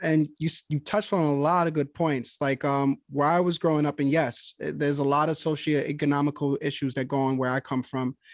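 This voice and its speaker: An American-accented man in an ordinary speaking voice, fairly high pitch and fairly even intonation, at a fairly quick pace with dry, close sound, no echo and a quiet background. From New York, Yonkers and the Bronx. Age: young. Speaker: podcast host. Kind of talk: interview.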